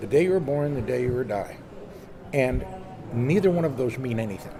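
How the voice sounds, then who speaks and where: A man at medium pitch sounds animated, with lively intonation. Noticeable background noise and audible room echo fill the recording. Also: fairly quick pace. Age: 70s. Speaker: sailor and magazine publisher. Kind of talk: casual interview. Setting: boat show. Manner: animated storytelling.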